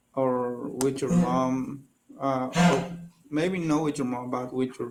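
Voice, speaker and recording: In a Spanish accent, a man speaks at a very slow pace with fairly even intonation and audible room echo. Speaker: English learner. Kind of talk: casual chat. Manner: halting.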